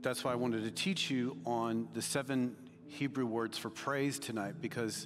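A man's voice with clear music in the background. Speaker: preacher. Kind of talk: sermon. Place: church. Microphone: headset.

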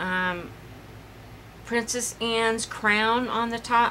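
A woman talks very slowly, with light noise in the background. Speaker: craft vlogger. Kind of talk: casual vlog chat. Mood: rueful, laughing at mishap. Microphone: phone near.

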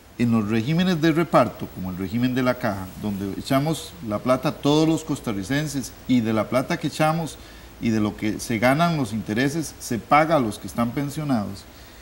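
A man talks at a moderate pace with lively intonation. He leaves hardly any pauses over light background noise. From Costa Rica. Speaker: economics academic; guest. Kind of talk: TV panel discussion. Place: studio. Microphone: lapel.

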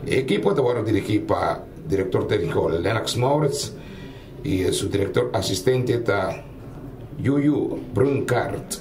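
Fairly slow speech with long, frequent pauses over noticeable background noise. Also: man. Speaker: football commentator. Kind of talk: live sports commentary. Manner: mixes Spanish, Portuguese, Papiamentu.

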